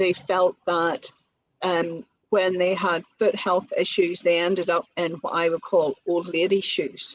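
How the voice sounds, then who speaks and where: A woman in a Northern Irish accent, medium in pitch, fairly slow and monotone, with a dry, close sound and no echo. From Northern Ireland. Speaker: business owner, colour consultant. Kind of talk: podcast interview.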